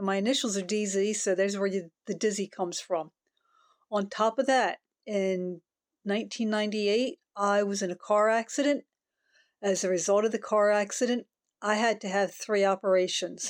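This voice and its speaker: A woman speaks in a normal speaking voice at a moderate pace, on a very clean recording with a silent background and a dry, close sound with no echo. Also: medium pitch for a woman, fairly even intonation. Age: 60s. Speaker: vlogger. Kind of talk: casual vlog monologue.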